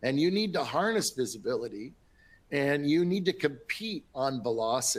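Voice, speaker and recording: A man with an American accent speaks at a moderate pace and a fairly high pitch, his loudness very even while his pitch swings very widely. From Minnesota. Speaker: industry analyst. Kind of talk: webinar panel talk. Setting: webinar.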